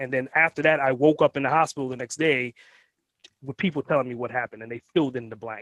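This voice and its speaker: Recorded dry and close with no echo, a man with a New York accent speaks in an animated tone. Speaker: entrepreneur. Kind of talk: interview.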